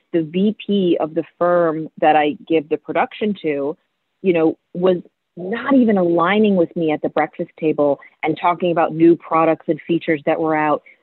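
This woman has a plain, everyday voice at a fairly low pitch. She talks at a moderate pace with ordinary pitch variation. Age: 40s. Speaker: financial planner. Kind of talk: casual chat.

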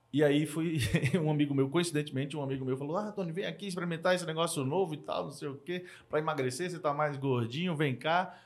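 Words come very fast from a man whose voice is fairly high-pitched. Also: ordinary pitch variation. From Brazil, Northeast (Maceió, Alagoas). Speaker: entrepreneur and angel investor. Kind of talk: casual interview chat.

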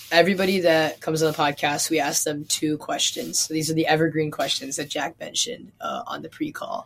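Over noticeable background noise, a woman with an American accent talks at a fairly quick pace with hardly any pauses. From US Midwest. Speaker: podcast co-host. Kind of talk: interview.

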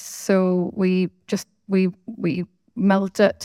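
The sound is dry and close, with no echo. A woman with a Belfast accent speaks at a medium pitch. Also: very clean recording, silent background. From Northern Ireland, Belfast. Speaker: business owner. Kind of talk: interview.

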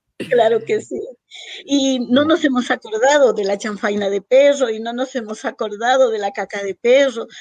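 A woman's fairly high-pitched, ordinary speaking voice at a moderate pace, with ordinary pitch variation. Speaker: writer and storyteller. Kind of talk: radio interview.

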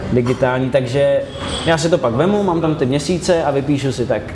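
The delivery is fairly quick, with audible room echo. Background noise is noticeable throughout. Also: man. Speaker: radio host. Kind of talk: casual chat.

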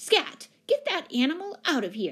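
A woman uses a put-on character voice that is high-pitched and fairly bright in tone, moving at a fairly slow pace with very wide pitch swings.

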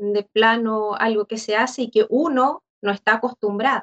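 With an unremarkable speaking voice, a woman speaks at a fairly slow pace, her fairly high pitch carried in fairly even intonation. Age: 40s. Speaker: church member. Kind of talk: casual chat.

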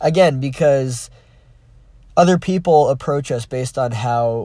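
The voice is somewhat breathy. Its pace is moderate. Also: man. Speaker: podcast host. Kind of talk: solo reflective monologue. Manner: halting, many fillers.

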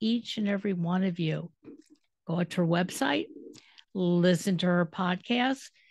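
A woman with an American accent, medium pitch and lively intonation at a fairly slow pace. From Detroit, US Midwest. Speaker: radio podcast host. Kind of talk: casual interview chat.

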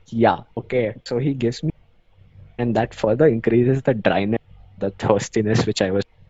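A man speaks with an Indian accent. His pitch varies in an ordinary way. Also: medium pitch for a man, moderate pace. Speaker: law student guest. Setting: video call.

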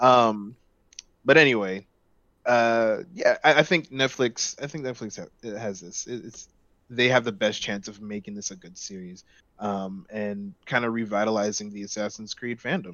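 With an unremarkable speaking voice, a man talks at a moderate pace and a fairly low pitch, showing ordinary pitch variation and big swings in loudness. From Los Angeles, US. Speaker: gaming podcast guest. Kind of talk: casual chat.

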